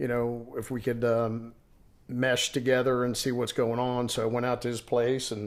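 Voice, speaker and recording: A medium-pitched man with an American accent at a moderate pace, flat and monotone in intonation. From New York City (Queens). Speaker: rock band vocalist. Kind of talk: interview conversation. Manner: halting, many fillers.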